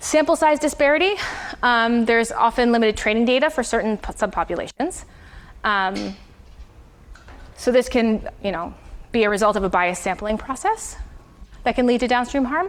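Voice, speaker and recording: Long, frequent pauses break up a woman's fairly quick speech. Her fairly high voice has lively intonation. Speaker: university lecturer. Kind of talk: lecture. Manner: fast.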